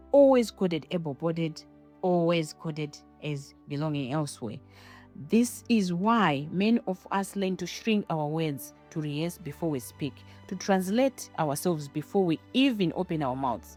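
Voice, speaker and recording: Over music in the background, a woman with a strong non-native accent and a fairly low pitch talks at a moderate pace with very wide pitch swings. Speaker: podcaster, academic. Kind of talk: personal narrative monologue.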